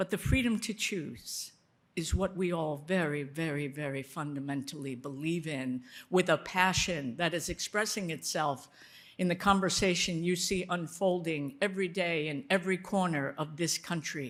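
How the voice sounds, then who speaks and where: A woman with a normal speaking voice and an American accent talks at a moderate pace in a fairly low pitch with ordinary pitch variation, on a very clean recording with a silent background. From United States. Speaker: foreign policy expert, board co-chair. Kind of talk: speech at a dinner.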